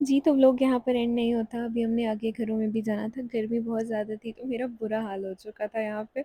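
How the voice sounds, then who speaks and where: The voice has a dark, mellow tone and monotone, flat intonation at a moderate pace, with a dry, close sound and no echo. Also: woman, fairly high pitch for a woman. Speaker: vlogger and charity volunteer. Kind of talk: vlog voiceover narration. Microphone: clip-on mic makes voice sound bad.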